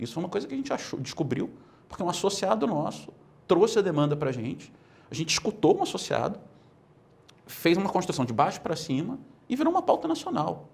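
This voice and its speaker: A man talks at a very fast pace with very wide pitch swings. Vocal fry runs through his voice. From Brazil. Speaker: political movement leader; interview guest. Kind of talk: interview. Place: studio. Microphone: lapel.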